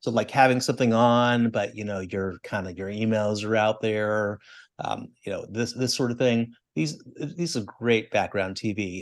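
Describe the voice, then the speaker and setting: A man with a normal speaking voice talks at a moderate pace and medium pitch, with ordinary pitch variation against a quiet background. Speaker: podcast co-host. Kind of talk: casual chat.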